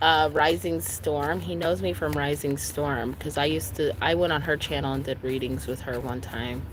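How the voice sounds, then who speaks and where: A woman speaks at a moderate pace with hardly any pauses, her pitch very deep and low yet swinging very widely. Room echo is audible. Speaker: tarot reader. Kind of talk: live stream tarot reading. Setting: outdoors by a lake. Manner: loud.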